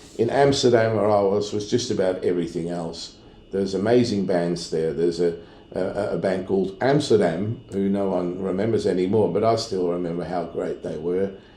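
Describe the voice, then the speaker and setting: Audible room echo surrounds a dark, mellow voice moving at a moderate pace with ordinary pitch variation. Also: man, very deep, low pitch for a man. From Netherlands. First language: Dutch. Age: 60s. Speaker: sound engineer. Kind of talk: casual chat.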